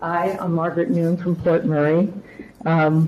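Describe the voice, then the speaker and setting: Amid noticeable background noise, a woman speaks at a moderate pace and a fairly low pitch. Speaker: public commenter. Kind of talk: public comment at meeting. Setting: township committee meeting.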